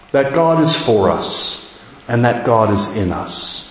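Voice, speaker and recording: A man speaks with lively intonation amid noticeable background noise and audible room echo. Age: 50s. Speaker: preacher and theology lecturer. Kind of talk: sermon.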